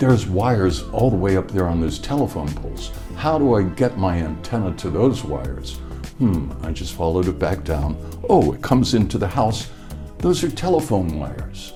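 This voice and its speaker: A man's very deep, low voice at a moderate pace, full of very wide pitch swings, with music in the background. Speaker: radio DJ. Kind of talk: interview answer.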